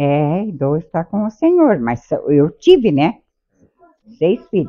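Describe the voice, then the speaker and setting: Her voice sits at a fairly low pitch for a woman. She speaks at a very slow pace. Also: lively intonation. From southern Brazil, Santa Catarina. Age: 80s. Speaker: interviewee, wife. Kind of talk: interview, life story.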